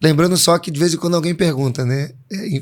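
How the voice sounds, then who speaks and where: Pitched fairly high, this man has a normal speaking voice with ordinary pitch variation. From Pernambuco, Brazil. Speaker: pastor. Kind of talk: interview.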